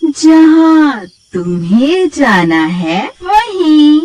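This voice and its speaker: Someone does a put-on character voice that sounds female and sits high in pitch for a woman. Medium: read story. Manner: sly, then menacing.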